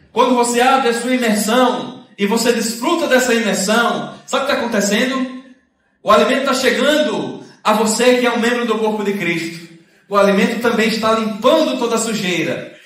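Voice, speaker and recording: A man speaks at an extremely high pitch with ordinary pitch variation. Audible room echo surrounds his voice. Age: 30s. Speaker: preacher. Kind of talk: sermon. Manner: fast.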